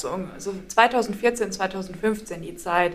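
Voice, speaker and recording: The woman's voice has a medium pitch with ordinary pitch variation. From northern Germany, Schleswig-Holstein. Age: 20s. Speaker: university student sharing recovery story. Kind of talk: interview testimony.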